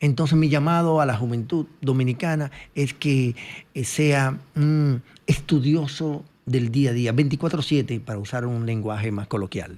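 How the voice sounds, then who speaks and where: The recording is very clean with a silent background, as a man talks in an unremarkable speaking voice at medium pitch. He goes at a fairly slow pace, with ordinary pitch variation. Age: 60s. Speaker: economist. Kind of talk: interview.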